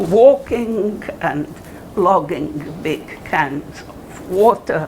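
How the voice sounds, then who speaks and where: A woman speaks with lively intonation. Noticeable background noise and audible room echo are present. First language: German. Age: 80s+. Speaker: Holocaust survivor and author. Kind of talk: talk with Q&A to students. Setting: college classroom audience.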